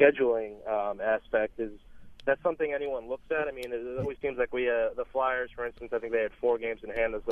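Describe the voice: Speaking at a fast pace, a man holds a medium pitch.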